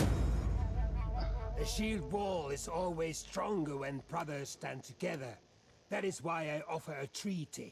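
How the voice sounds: Doing a put-on character voice, a man speaks slowly at a fairly high pitch with ordinary pitch variation, a slightly mellow tone, a slightly husky edge and vocal fry, leaving long, frequent pauses while faint music plays in the background.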